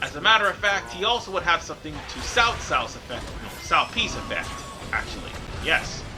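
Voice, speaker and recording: A high-pitched man with an animated tone, lively intonation and fairly quick pace, music behind him. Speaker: gaming commentator. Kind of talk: let's play commentary.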